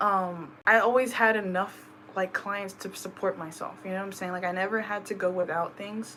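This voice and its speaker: A woman with a bright, sharp tone and fairly even intonation. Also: medium pitch for a woman. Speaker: spiritual reader. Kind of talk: personal tarot reading vlog. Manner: fast; casual, filler-heavy.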